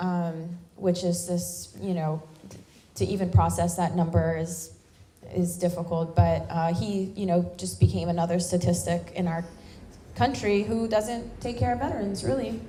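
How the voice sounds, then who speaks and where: Speaking in an American accent, a woman uses a fairly low pitch with ordinary pitch variation at a moderate pace. Noticeable background noise and audible room echo are present. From US South, Louisiana bayou. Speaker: military veteran and activist. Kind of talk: speech at a town hall.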